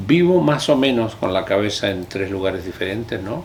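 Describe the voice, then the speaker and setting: A man's voice with ordinary pitch variation. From Chile. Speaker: linguistics professor. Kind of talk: interview answer.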